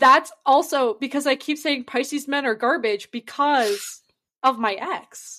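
Speaking at a fairly slow pace, a woman uses a high pitch, ordinary pitch variation, a bright, sharp tone and a raised, projected voice. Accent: American. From north central Massachusetts. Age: 20s. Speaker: podcast co-host. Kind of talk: casual chat. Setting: video call from a basement.

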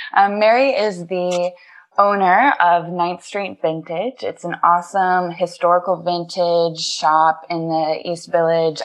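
Here is a plain, everyday voice. The pace is fairly slow. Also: woman. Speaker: podcast host. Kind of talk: casual interview.

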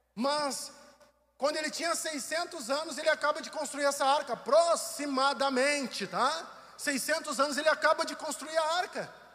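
A man with an extremely high pitch uses a raised, projected voice at a fairly slow pace with fairly even intonation. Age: 40s. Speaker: pastor. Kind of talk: sermon. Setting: online livestream from church building.

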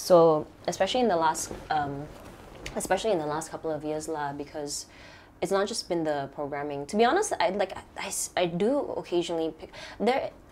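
A woman speaks with big swings in loudness over noticeable background noise. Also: fairly low pitch for a woman, ordinary pitch variation, fairly quick pace. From Sabah, Malaysia. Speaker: filmmaker.

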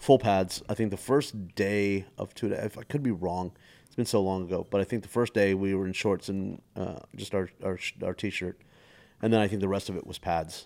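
A fairly low-pitched man with a Texan accent at a moderate pace, with fairly even intonation and big swings in loudness, on a very clean recording with a silent background. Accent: Texan American English. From Texas. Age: 40s. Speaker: comedian. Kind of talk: casual chat.

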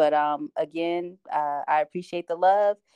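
A woman with an American accent has a fairly low pitch and a dark, mellow tone. The sound is dry and close, with no echo. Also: quiet background. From New Jersey (Asbury Park). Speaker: small business owner. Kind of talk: casual interview.

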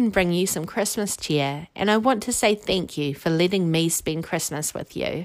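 Animated in tone, a woman with a New Zealand accent speaks at a medium pitch and moderate pace on a very clean recording with a silent background. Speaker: quiz podcast host. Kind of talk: scripted quiz presentation.

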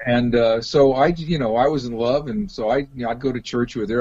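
A man with a General American accent speaks fairly quickly in a normal speaking voice of medium pitch, with ordinary pitch variation. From US West Coast, Los Angeles. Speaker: rock musician and pastor. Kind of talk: interview.

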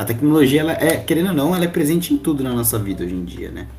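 A man speaks with lively intonation. Music plays in the background, and there is audible room echo. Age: 20s. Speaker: university student, sports association marketing captain. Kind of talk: casual podcast interview.

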